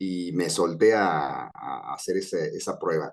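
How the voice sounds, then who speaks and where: His pitch swings very widely as this man speaks. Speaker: voice actor. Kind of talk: interview answer.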